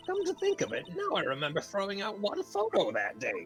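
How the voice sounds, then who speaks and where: A put-on character voice at a fairly quick pace, with clear music in the background. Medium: actual play. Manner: scolding, fussy.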